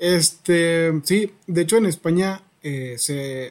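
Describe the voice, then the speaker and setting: The speaker has a Mexican accent and ordinary pitch variation. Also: man. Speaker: podcast host. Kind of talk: casual interview.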